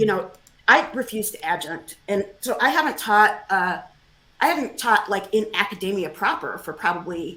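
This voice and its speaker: With an American accent, a woman speaks at medium pitch and a moderate pace. Her tone is bright and sharp, her intonation lively. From New York, US. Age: 60s. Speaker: historian and author. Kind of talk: interview. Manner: casual, conversational.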